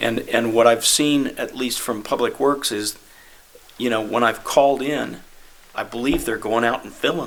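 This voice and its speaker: A normal speaking voice at a moderate pace, fairly even in intonation but with big swings in loudness. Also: man, medium pitch for a man. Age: 60s. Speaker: city committee member. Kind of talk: committee meeting discussion.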